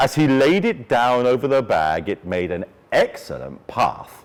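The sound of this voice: A man speaks at a medium pitch and a fairly slow pace. His delivery has big pitch swings.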